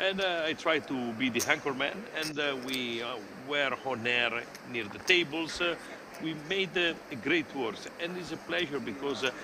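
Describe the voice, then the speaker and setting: Amid noticeable background noise, a man with an Italian accent talks at a moderate pace in a fairly high voice with ordinary pitch variation. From Italy. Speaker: poker commentator. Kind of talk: live commentary. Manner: halting.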